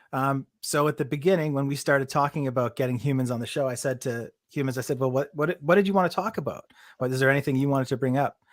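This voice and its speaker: This man has an ordinary speaking voice at a medium pitch, its pitch varying in an ordinary way, captured in a very clean recording against a silent background. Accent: Canadian. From Canada. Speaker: podcast host. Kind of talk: casual chat. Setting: live stream.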